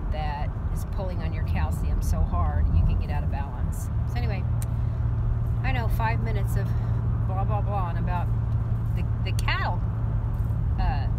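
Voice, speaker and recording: Loud background noise surrounds a woman speaking at a moderate pace with ordinary pitch variation. She takes long, frequent pauses. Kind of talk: casual vlog chat. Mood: concerned but calm. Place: car. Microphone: phone near.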